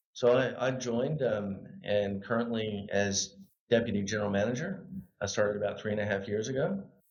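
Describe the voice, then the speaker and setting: With an American accent, a man speaks at a fairly quick pace in a fairly low pitch with ordinary pitch variation, and audible room echo surrounds him. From US South, Arkansas (Little Rock). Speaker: local government executive. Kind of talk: podcast interview. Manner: halting with many fillers.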